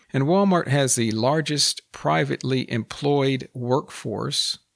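A man with a Texan accent speaks at a very slow pace. His pitch is medium, with lively intonation. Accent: Texan American English. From United States. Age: 50s. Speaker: podcast host and English teacher. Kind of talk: educational monologue for language learners. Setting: solo podcast recording. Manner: slow, clear enunciation for learners.

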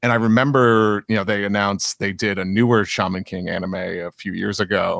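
A man with an American accent speaks in a normal speaking voice, fairly low-pitched and fairly quick with hardly any pauses, his intonation fairly even, on a very clean recording with a silent background and a dry, close sound with no echo. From New York. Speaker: storyboard artist and podcast co-host. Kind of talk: casual interview chat.

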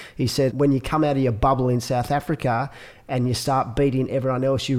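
A man with an Australian accent, fairly quick pace and monotone, flat intonation. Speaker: podcast host, surf event organizer. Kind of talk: casual interview. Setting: in person, Sydney.

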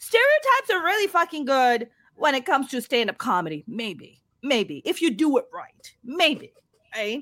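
Her voice high and swinging very widely in pitch, a woman talks at a moderate pace. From Pakistan. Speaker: stand-up comedian. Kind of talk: casual interview. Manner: animated.

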